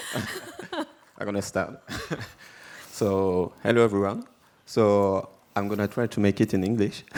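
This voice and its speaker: A man with a French accent, fairly low-pitched, monotone and flat, at a fairly slow pace with long, frequent pauses. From France. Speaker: chef. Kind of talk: panel discussion. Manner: halting.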